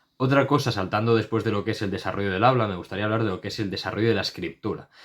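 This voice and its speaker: Fairly even intonation from a man with a fairly low pitch, on a very clean recording with a silent background. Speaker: YouTuber talking about giftedness. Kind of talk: casual explainer monologue to camera. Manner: fast; stumbles and repeats syllables.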